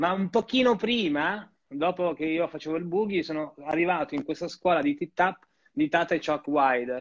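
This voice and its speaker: A man with a high pitch and lively intonation talks at a moderate pace against a quiet background. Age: 40s. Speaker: tap dancer and dance teacher. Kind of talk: casual interview chat.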